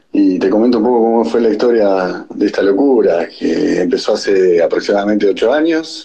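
A man is speaking. His pace is fairly slow. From Santa Fe, Argentina. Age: 40s. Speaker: moving van business owner. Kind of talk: recorded voice message.

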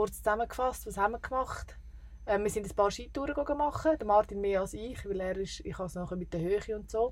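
An unremarkable speaking voice from a woman, medium-pitched, with ordinary pitch variation and a fairly quick pace. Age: 30s. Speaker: travel podcaster. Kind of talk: casual chat.

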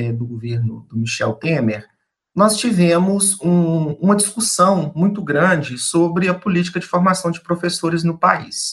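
This male voice is high in pitch. The delivery is fairly slow. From eastern Minas Gerais, Brazil (Peçanha). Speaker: education professor. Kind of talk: radio interview. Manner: hesitant, many fillers.

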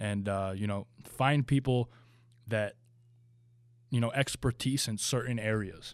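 An unremarkable speaking voice with an American accent and ordinary pitch variation, on a very clean recording with a silent background. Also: man. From New Jersey. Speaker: pro bodybuilder and supplement brand founder. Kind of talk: interview.

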